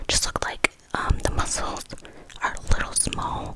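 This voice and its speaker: Whispering from a woman at a fairly slow pace, with noticeable background noise. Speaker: ASMR creator playing an eye doctor. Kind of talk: ASMR roleplay, soft whispered delivery. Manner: whispered, soft, slow.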